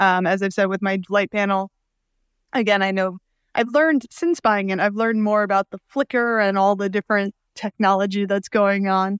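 A woman's plain, everyday voice with an American accent, at a moderate pace with fairly even intonation. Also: medium pitch for a woman. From Brooklyn, New York. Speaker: podcast host, Chinese medicine doctor. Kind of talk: interview.

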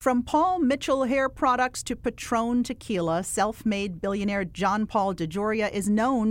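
An unremarkable speaking voice: a woman with an American accent, medium pitch, ordinary pitch variation and a moderate pace. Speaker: interviewer. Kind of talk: interview.

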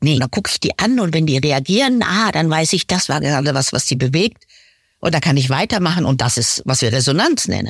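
With a very deep, low pitch and very wide pitch swings, a woman talks at a fairly quick pace at a very even loudness. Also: very clean recording, silent background. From Lower Saxony, village. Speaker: coach. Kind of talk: casual chat.

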